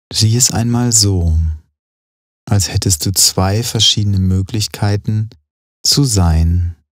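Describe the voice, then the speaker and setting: A man with a fairly low pitch speaks very slowly in a calm, soothing, somewhat breathy tone, with ordinary pitch variation and a dry, close sound with no echo. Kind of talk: guided meditation. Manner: slow, calm, soothing.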